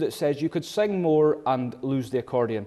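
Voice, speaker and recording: In a northern Scottish accent, a man talks at a fairly quick pace with lively intonation and a dark, mellow tone over a quiet background. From Scotland, Caithness. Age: 20s. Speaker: accordion player and singer. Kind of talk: interview.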